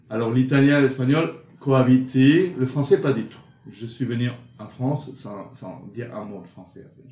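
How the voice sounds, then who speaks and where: Speaking at a moderate pace with ordinary pitch variation, a man's medium-pitched voice carries audible room echo. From Argentina. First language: Italian and Spanish (speaking French). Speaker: singing teacher. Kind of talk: interview.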